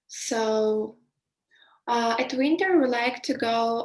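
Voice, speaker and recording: A woman with a Belarusian accent speaks at a very slow pace. Her pitch is high, with ordinary variation. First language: Russian. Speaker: interviewee. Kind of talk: casual interview. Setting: video call. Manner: halting, many fillers.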